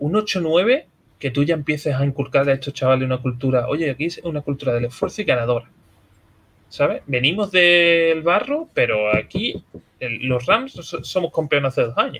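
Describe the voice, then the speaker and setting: A man with a normal speaking voice talks at a fairly high pitch. His intonation is lively and his pace moderate. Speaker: podcast host. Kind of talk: casual chat.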